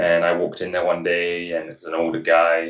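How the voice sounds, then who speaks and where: This is a man speaking. He has an English accent. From England. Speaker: hunting guide. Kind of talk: interview. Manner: fast; mumbling.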